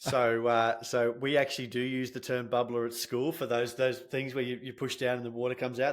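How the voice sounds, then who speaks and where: Recorded very cleanly against a silent background, a man talks at a moderate pace with a medium pitch. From Australia. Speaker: sales and marketing consultant. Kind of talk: podcast interview. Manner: articulate.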